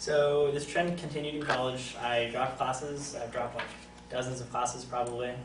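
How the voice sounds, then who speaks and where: Over noticeable background noise and audible room echo, a man speaks fairly quickly in a flat monotone at medium pitch. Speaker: college student. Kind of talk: class speech. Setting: classroom with audience. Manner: halting.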